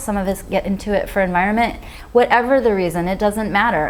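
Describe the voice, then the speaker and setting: The woman talks at a fairly quick pace. Her intonation is lively. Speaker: vegan author and speaker. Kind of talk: Q&A after a talk. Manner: fast.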